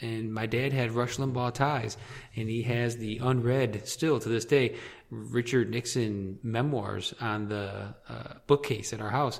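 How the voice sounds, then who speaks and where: A man's medium-pitched voice in a Midwestern American accent, fairly slow and fairly even in intonation. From Michigan, southeast near Detroit. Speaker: podcast guest, political radio listener. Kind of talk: casual chat.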